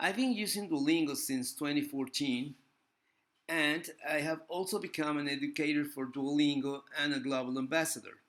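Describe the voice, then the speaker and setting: On a very clean recording with a silent background, a man with a Spanish accent speaks at a moderate pace in a fairly high pitch. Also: ordinary pitch variation. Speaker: language teacher and vlogger. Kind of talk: casual video review. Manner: halting, with frequent fillers.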